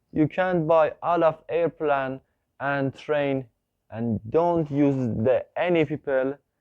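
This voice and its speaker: With a non-native accent, a man speaks at a very slow pace in a fairly high voice. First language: not English. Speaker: YouTuber. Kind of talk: video monologue. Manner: halting.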